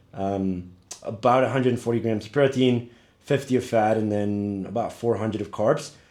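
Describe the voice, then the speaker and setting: A man talks at a moderate pace in medium pitch, with fairly even intonation. He has an ordinary speaking voice. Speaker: vlogger. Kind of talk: casual vlog monologue.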